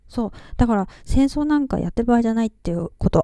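A woman talks at a very fast pace with ordinary pitch variation. Her fairly high voice has a dark, mellow tone. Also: dry, close sound with no echo. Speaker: podcast host. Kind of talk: casual monologue.

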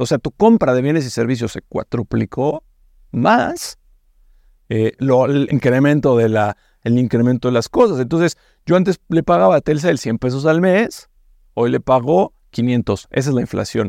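A man's dark, mellow voice at medium pitch moves fairly slowly with lively intonation, recorded dry and close with no echo. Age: 30s. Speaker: fintech CEO. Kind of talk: interview. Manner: hesitant, with fillers.

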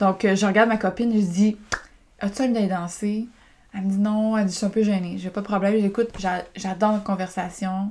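Somewhat breathy and in a Quebec accent, the speaker talks at a fairly quick pace with monotone, flat intonation and long, frequent pauses. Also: woman, medium pitch for a woman. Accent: Québécois French. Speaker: podcaster and women's group coach. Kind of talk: personal storytelling monologue. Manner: casual, hesitant with many fillers.

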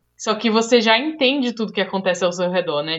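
A woman speaks with a Brazilian accent and ordinary pitch variation. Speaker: podcast host, front-end developer. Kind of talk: casual chat.

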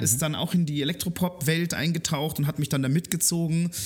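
A somewhat breathy man at a moderate pace, in a very clean recording with a silent background. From Germany, Munich (Bavaria). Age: 20s. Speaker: music journalist and radio/podcast host. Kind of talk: casual interview chat. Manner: hesitant, many fillers and repetitions.

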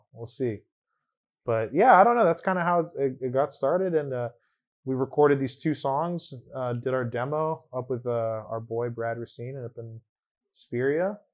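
At a moderate pace, a man with an American accent talks in a normal speaking voice with ordinary pitch variation. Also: medium pitch for a man. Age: 20s. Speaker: hardcore band bassist and vocalist. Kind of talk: casual chat.

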